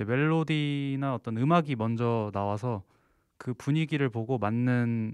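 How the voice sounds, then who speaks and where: Against a quiet background, a man at medium pitch speaks with ordinary pitch variation in a dry sound with no echo. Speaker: singer-songwriter and composer, university student; interviewee. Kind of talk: interview. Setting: studio. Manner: relaxed. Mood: calm, polite. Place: studio. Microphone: handheld.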